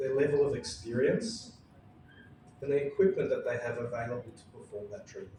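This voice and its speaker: A man talks at a fairly quick pace with big swings in loudness, with noticeable background noise and audible room echo. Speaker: endodontist presenting at a dental conference. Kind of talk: conference presentation.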